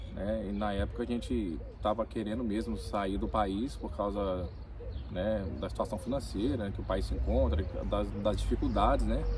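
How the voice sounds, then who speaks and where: There is a man's voice here. The room echo is audible, and background noise is noticeable. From Brazil, Minas Gerais (Ipatinga), born in Rio de Janeiro. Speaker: immigrant worker. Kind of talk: interview. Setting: in-person conversation in Vilamoura.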